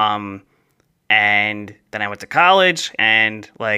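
A man with a slight New Jersey accent speaks at a medium pitch in a bright, sharp tone, captured in a very clean recording with a silent background. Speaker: podcast co-host. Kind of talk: casual chat.

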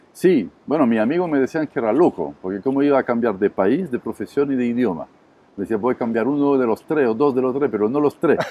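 With a French accent, a man speaks at a medium pitch with ordinary pitch variation. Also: fairly quick pace. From southern France, Montpellier. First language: French (speaking Spanish). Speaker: restaurant entrepreneur. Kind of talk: interview. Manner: halting with fillers.

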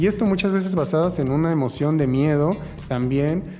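There is noticeable background noise. A man speaks at a fairly quick pace. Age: 20s. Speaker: HIV activist. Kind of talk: interview testimony.

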